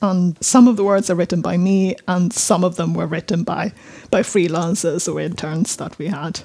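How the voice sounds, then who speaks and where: A woman with a southern Swedish accent, fairly low pitch, ordinary pitch variation and a moderate pace. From southern Sweden. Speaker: journalist. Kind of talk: casual chat.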